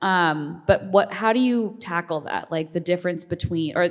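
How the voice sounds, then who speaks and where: This woman's voice is fairly low in pitch. She talks at a moderate pace. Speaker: audience member. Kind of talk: audience question. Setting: stage with audience. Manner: loud.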